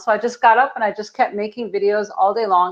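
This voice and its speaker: A woman speaks at a fairly high pitch in an animated tone. Her pace is fairly quick. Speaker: video marketing coach for health practitioners. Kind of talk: podcast interview. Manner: fast.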